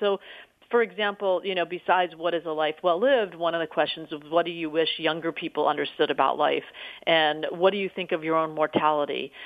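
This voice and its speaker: A woman uses a normal speaking voice, moving fairly quickly with ordinary pitch variation. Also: fairly low pitch for a woman. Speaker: documentary filmmaker. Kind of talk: interview.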